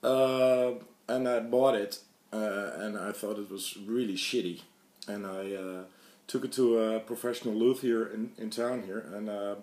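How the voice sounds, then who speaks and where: This man talks at a medium pitch and a fairly slow pace. His intonation stays fairly even. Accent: Dutch. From Netherlands. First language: Dutch. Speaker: guitar hobbyist YouTuber. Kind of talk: casual show-and-tell video. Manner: halting, many fillers.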